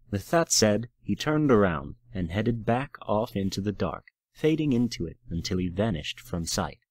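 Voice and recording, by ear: Lively intonation marks this reading aloud in a natural voice. The background is quiet.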